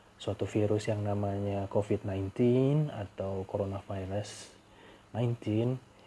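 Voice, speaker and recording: A man speaks at a fairly slow pace in a fairly low pitch, with a dark, mellow tone and a somewhat breathy quality. His intonation stays fairly even. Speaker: podcaster. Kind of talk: casual monologue. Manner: casual.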